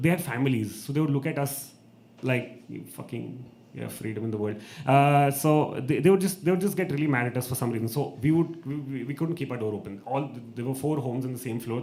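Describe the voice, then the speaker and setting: A man with an Indian accent, ordinary pitch variation, and audible room echo. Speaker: open mic host and comedian. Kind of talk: stand-up storytelling. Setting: stage with audience. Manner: animated.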